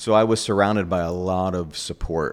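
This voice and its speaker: With an American accent, a man speaks in a very deep, low voice and fairly even intonation. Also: very clean recording, silent background. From New York. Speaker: baker and bakery owner. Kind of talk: interview.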